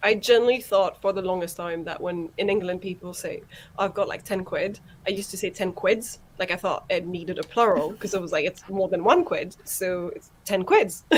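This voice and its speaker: A woman speaks at a fairly quick pace with a medium pitch. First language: not English. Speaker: livestream host. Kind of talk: casual chat. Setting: online group live stream. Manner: animated.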